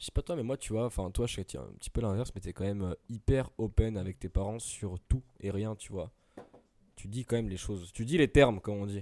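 At a fairly quick pace, a man with a fairly low pitch and a dark, mellow tone speaks with ordinary pitch variation in a dry, close sound with no echo. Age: 20s. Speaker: podcast co-host. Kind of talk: casual chat. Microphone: too close to the mic.

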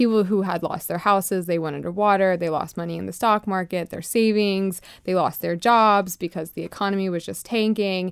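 On a very clean recording with a silent background, a woman with an American accent and an ordinary speaking voice speaks at a medium pitch and a fairly quick pace with fairly even intonation. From US South, Florida (Lakeland). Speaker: trade association founder. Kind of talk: radio interview.

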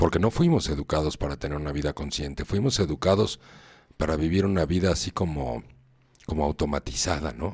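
A man with a Mexican accent talks in a very deep, low pitch with vocal fry. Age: 50s. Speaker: radio host, personal growth speaker. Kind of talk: live radio talk on personal growth. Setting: live internet radio studio.

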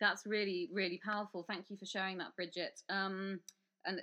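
A woman with a British accent, her fairly low voice bright and sharp in tone, over a quiet background. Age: 30s. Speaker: podcast host. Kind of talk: interview.

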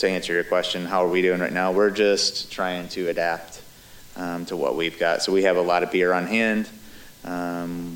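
Through noticeable background noise comes a man's very deep, low-pitched voice. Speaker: brewery and event business owner. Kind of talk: casual interview chat.

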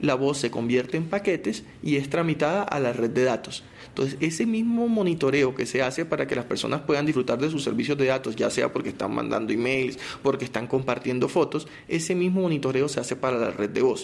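Over noticeable background noise, a man with a Colombian Caribbean accent talks at a fairly quick pace with a fairly high pitch and lively intonation. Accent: Colombian Caribbean coast. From Colombian Caribbean coast, Barranquilla. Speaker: telecom company spokesperson. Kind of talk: technical interview.

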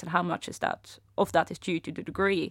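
A woman's medium-pitched voice with vocal fry at a moderate pace, on a very clean recording with a silent background. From abroad, not UK. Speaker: research economist. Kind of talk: interview.

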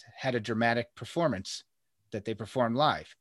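The recording is very clean, with a silent background. A man with an ordinary speaking voice talks fairly quickly with fairly even intonation. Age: 40s. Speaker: podcast host and personal trainer. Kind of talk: casual chat.

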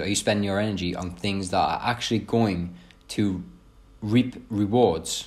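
Ordinary pitch variation runs through this voice with a British accent. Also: man. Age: 20s. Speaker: fitness coach and podcaster. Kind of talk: solo podcast monologue. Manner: casual, with filler words.

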